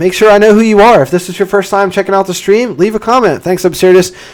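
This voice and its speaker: Over noticeable background noise, a man speaks in an upbeat tone at a high pitch. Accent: American. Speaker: engineering channel host, civil engineer. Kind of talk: live stream Q&A. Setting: live stream. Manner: fast; casual, upbeat.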